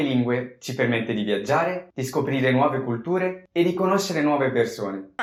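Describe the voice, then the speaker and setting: With an Italian accent, a man speaks at a moderate pace and medium pitch, using lively intonation and hardly any pauses. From Italy. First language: Italian (speaking Portuguese). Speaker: polyglot YouTuber. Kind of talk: scripted multilingual vlog.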